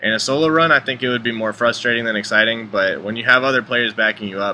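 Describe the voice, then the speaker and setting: A man talks at a very fast pace. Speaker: gamer, speedrunner. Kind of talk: gameplay commentary.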